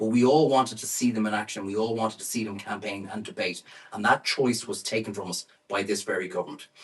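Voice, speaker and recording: Noticeable background noise sits behind a man who speaks with lively intonation in an Irish accent. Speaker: campaigner. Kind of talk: speech.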